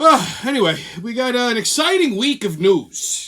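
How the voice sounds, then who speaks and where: The speech has lively intonation and a moderate pace. Background noise is noticeable. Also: man. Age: 40s. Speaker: online show host. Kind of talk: casual comedic news monologue. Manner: profane, ranting; hesitant, repeats words.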